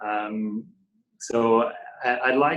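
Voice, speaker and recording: A man's medium-pitched voice with a French accent. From France, Paris area. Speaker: company founder and CEO. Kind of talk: interview conversation. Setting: video call. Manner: halting, many repeated words.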